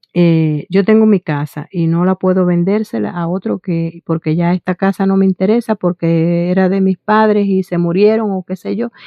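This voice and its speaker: A woman talks at a medium pitch and a moderate pace. Her intonation is fairly even, with hardly any pauses. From Cuba. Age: 60s. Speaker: vlogger. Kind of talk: personal testimony to camera. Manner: halting, many fillers and restarts.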